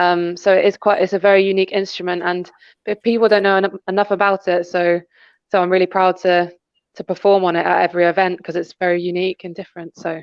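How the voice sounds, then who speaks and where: Speaking very fast, a woman keeps a medium pitch and a monotone, flat intonation. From Devon, England. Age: 20s. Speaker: violist. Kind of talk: interview. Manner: soft-spoken.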